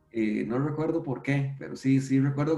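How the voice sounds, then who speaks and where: An unremarkable speaking voice from a man, fairly high in pitch, at a moderate pace. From Costa Rica, San José. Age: 40s. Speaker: database technology expert. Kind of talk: interview conversation. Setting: video call from home.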